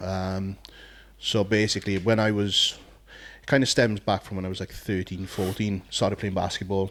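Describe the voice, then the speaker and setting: In a Welsh accent, a man speaks at a moderate pace with a fairly low voice. His intonation is monotone and flat. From South Wales. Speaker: podcast co-host, bodybuilder, former DJ. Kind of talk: casual chat.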